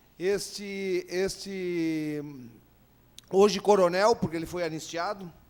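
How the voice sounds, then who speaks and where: A man's high-pitched voice carries ordinary pitch variation. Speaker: panel speaker, son of former president. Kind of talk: panel talk. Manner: halting, many repetitions.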